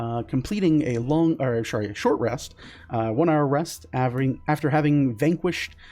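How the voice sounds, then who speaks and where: A man's dark, mellow tone, fairly high in pitch, at a moderate pace. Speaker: game master. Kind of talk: role-playing game narration. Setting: online video call stream. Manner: hesitant, many fillers.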